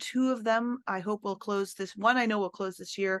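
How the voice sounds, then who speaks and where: Her intonation fairly even and her pitch medium, the woman talks with a quiet background behind her. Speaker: land trust director. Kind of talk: presentation. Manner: fast.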